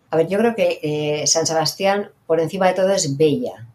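A woman's fairly low pitch at a moderate pace, with ordinary pitch variation. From Basque Country, Irún. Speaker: hotel director. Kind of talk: interview. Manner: animated.

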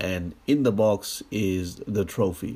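The very clean recording, with its silent background, carries a man's speech with ordinary pitch variation. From Australia. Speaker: podcaster. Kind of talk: casual solo monologue. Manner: hesitant, many fillers.

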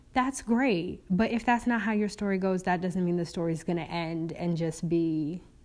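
A woman speaks at a fairly low pitch and fairly slow pace. Her pitch varies in an ordinary way. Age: 20s. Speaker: podcast host. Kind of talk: casual solo podcast monologue. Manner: chatty, rambling.

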